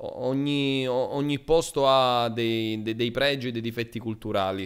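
A man at a very slow pace with fairly even intonation, set against a quiet background. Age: 20s. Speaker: streamer; guest. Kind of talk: casual chat. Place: home room. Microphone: studio mic.

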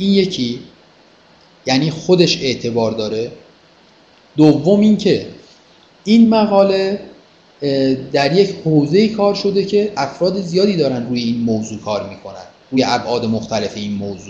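Somewhat breathy and fairly slow, the voice swings very widely in pitch and leaves long, frequent pauses. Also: man, fairly high pitch for a man. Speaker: university lecturer. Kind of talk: lecture. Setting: video call. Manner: formal.

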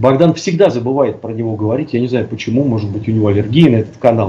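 Talking at a very fast pace, a man uses a dark, mellow, somewhat breathy tone with ordinary pitch variation. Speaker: co-host of a live stream. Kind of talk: live stream discussion. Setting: video call. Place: home room. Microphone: headset.

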